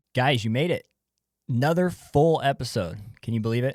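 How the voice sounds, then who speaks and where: On a very clean recording with a silent background and a dry, close sound with no echo, a man with a normal speaking voice and a medium pitch talks at a fairly quick pace. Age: young. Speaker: podcast host. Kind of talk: show outro; casual interview chat.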